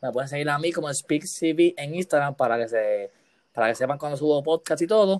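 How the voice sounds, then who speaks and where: A man with a normal speaking voice, fairly high in pitch, with ordinary pitch variation, a moderate pace and a dry, close sound with no echo. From Puerto Rico, Aguas Buenas. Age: 20s. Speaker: podcast host. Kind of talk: casual interview.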